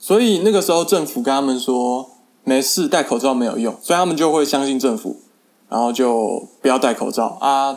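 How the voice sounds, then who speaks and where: At a moderate pace, a man with a fairly high pitch uses lively intonation in an ordinary speaking voice. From Taiwan. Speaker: podcaster. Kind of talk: casual monologue.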